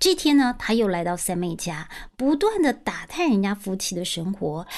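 The tone is animated. This woman's pitch rises and falls very widely. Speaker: storytelling podcast host. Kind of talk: storytelling narration. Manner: animated, voices characters.

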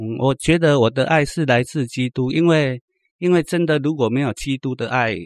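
The voice moves at a moderate pace with ordinary pitch variation. The sound is dry and close with no echo, against a quiet background. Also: man, medium pitch for a man. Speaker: former drug addict giving testimony. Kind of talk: testimony. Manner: halting, many fillers.

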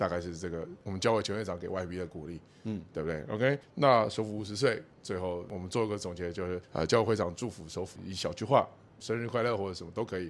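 In a very clean recording with a silent background, a man speaks at a very fast pace. His pitch is very deep and low. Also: ordinary pitch variation. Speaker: podcast host. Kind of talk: interview.

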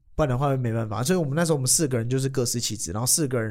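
A man speaks with a Taiwanese accent. His pitch is medium, with ordinary variation. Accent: Taiwanese Mandarin. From Taiwan, Kaohsiung. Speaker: comedian. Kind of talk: casual chat.

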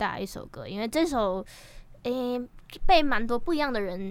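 A woman in a plain, everyday voice, lively in intonation and moderate in pace. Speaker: rapper and singer-songwriter. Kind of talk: casual interview chat.

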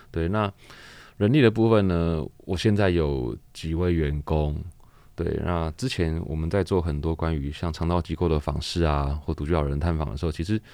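A man with a Taiwanese accent speaks at a moderate pace in a very deep, low voice with a dark, mellow tone. His pitch varies in an ordinary way, and the background is quiet. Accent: Taiwanese Mandarin. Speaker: laundry shop owner and charity organizer. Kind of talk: interview.

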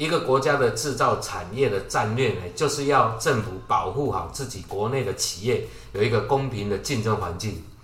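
A man's voice with audible room echo. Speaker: tech industry podcast co-host. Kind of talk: casual chat.

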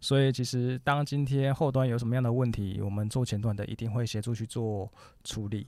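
In a very clean recording with a silent background, a man speaks at a medium pitch and a fairly quick pace, his tone dark and mellow and his intonation fairly even. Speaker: business founder. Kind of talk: interview conversation.

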